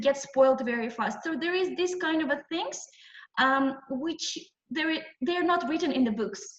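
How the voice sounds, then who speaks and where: A woman with a high pitch and lively intonation talks at a moderate pace, with audible room echo. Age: 20s. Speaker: entrepreneur, guest lecturer. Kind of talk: lecture. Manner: halting, many fillers.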